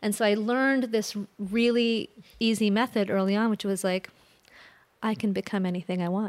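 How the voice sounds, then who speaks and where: A woman speaks with a General American accent at a moderate pace and medium pitch. Her intonation is fairly even, on a very clean recording with a silent background. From US Midwest. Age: 40s. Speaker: energy healer, former lawyer. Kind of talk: interview conversation. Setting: studio.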